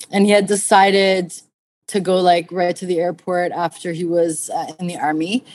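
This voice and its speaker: Her intonation monotone and flat, a woman speaks at a medium pitch with a Canadian accent. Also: moderate pace. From Canada. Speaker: pet toy company co-founder. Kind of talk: casual interview.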